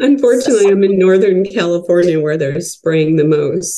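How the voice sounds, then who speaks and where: A woman speaks with a dark, mellow tone. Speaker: caller. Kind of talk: casual chat.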